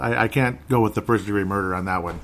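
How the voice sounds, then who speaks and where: A man with an American accent talks in an ordinary speaking voice. His pace is fairly quick and his pitch varies in an ordinary way. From Minnesota, US. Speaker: political podcast host. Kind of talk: casual monologue.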